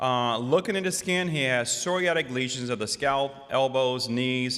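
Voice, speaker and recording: Here a man talks at a medium pitch. His pitch variation is ordinary. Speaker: rheumatologist and conference speaker. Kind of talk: lecture. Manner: fast.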